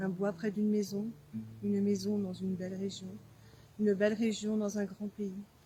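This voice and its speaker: A woman's medium-pitched, dark, mellow and somewhat breathy voice, flat and monotone, at a moderate pace. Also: long, frequent pauses. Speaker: writer. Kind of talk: poetry reading. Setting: outdoors.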